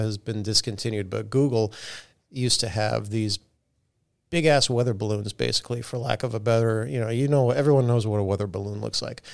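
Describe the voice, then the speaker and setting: In a very clean recording with a silent background, a man speaks with an unremarkable speaking voice. His pitch is medium, with ordinary pitch variation. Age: 40s. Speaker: airline pilot. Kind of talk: casual chat. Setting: studio.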